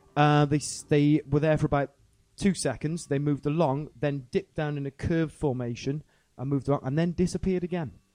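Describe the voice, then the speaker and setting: A man's dark, mellow tone at a fairly high pitch, fairly quick in pace with fairly even intonation, in a dry, close sound with no echo. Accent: South Welsh. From South Wales. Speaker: rapper and musician. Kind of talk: casual chat. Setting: stage with audience.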